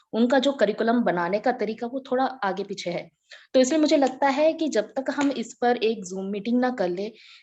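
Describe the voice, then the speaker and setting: A woman's high-pitched voice with a Tamil accent, a dark, mellow tone, ordinary pitch variation and a moderate pace. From India, Chennai and various regions. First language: Tamil (speaking Hindi). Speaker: Hindi teacher. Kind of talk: group video meeting discussion. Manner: halting, with fillers.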